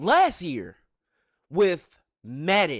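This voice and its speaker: A man speaks in an animated tone on a very clean recording with a silent background. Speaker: gaming YouTuber and streamer. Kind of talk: casual commentary rant to stream chat. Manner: stuttering, unedited; animated, emphatic.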